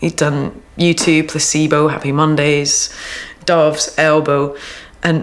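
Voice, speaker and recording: At a fairly slow pace, a woman speaks in a fairly low voice. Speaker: interviewee. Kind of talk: interview answer. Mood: relaxed, upbeat. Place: home room.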